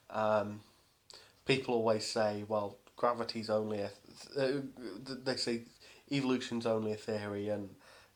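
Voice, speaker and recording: With monotone, flat intonation, a man speaks at a medium pitch and moderate pace, leaving long, frequent pauses. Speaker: science vlogger. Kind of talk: casual vlog rant. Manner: halting, many fillers and restarts.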